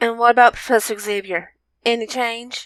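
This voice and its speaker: At a moderate pace, a female-sounding voice performs a put-on character voice with fairly high pitch. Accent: Southern US. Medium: read story.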